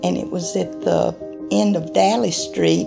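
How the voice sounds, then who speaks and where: A woman talks at a rather unhurried pace while clear music plays behind her. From Acworth, Georgia. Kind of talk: oral history interview answer. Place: office.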